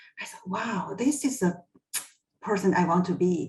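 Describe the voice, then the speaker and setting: A woman's somewhat breathy, medium-pitched voice with a Chinese accent, fairly slow, with ordinary pitch variation. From China. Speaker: HR executive. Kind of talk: personal career story in a panel talk.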